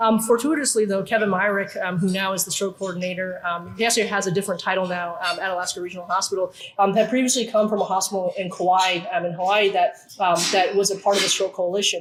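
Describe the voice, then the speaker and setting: Against noticeable background noise, a woman speaks very fast with hardly any pauses, at a medium pitch and with fairly even intonation. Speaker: neurosurgeon. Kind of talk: conference talk.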